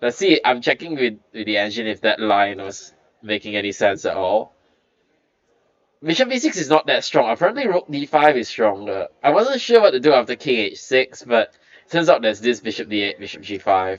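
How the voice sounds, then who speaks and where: His pitch swings very widely. Vocal fry runs through this man's speech. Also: medium pitch for a man. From Malaysia. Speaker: chess commentator. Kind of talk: live commentary. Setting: live at the tournament venue. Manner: animated.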